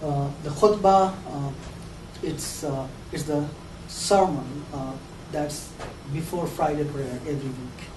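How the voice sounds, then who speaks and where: A man with a fairly high voice and fairly even intonation speaks at a very slow pace with long, frequent pauses, amid audible room echo and noticeable background noise. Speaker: lecturer. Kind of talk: lecture. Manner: hesitant, many fillers and repeats.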